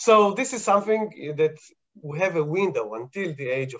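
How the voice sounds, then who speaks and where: With an Israeli accent, a man speaks in very wide pitch swings. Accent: Hebrew. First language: Hebrew. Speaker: scientist answering kids' questions. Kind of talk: casual explanatory chat with kids. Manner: halting, many fillers.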